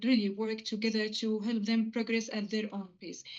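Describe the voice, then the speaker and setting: A woman with an Arabic accent speaks at a fairly high pitch. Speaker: physiotherapist. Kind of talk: interview. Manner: fast; hesitant, many fillers.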